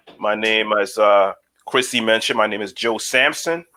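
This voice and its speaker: This is a man speaking with a Guyanese accent. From Guyana. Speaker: licensed professional counselor. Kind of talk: podcast interview. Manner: halting, many fillers.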